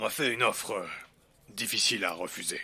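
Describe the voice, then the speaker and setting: A raspy, put-on character voice from a man at a fairly quick pace, on a very clean recording with a silent background. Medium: audio drama. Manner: terse, guarded, reluctant.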